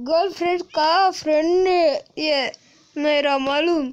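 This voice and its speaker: Someone does a put-on character voice with a high pitch. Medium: machinima. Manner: defiant, shifty.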